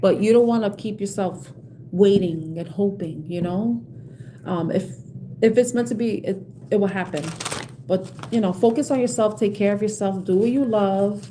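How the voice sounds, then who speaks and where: A woman talks with a New York accent, ordinary pitch variation and long, frequent pauses. Noticeable background noise and audible room echo fill the recording. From New York City, South Bronx. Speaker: tarot card reader. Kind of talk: live stream tarot reading with chat. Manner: halting, repetitive.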